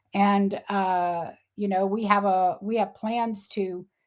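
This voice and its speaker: The speaker has a Texan accent and fairly even intonation. The recording is very clean, with a silent background. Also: woman. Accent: Texan American. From Texas, Houston. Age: 60s. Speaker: animal sanctuary founder. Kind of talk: interview.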